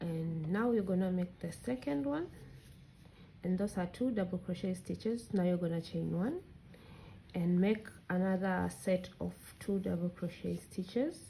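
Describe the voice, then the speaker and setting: Dark, mellow tone from a somewhat breathy woman, moderate pace, with long, frequent pauses. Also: medium pitch for a woman, ordinary pitch variation. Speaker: crochet tutorial creator. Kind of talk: tutorial. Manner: casual, conversational.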